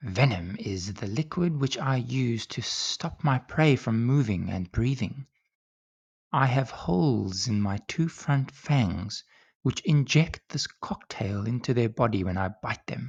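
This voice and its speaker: In a put-on character voice that is hoarse and hissing, the speaker moves at a fairly slow pace. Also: man, medium pitch for a man. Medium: read story. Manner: slow, formal, melancholy.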